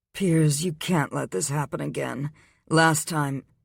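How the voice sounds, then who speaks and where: A man's put-on character voice, fairly high in pitch with ordinary variation, at a fairly slow pace, dry and close with no echo, on a very clean recording with a silent background. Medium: read story. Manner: blunt, brusque.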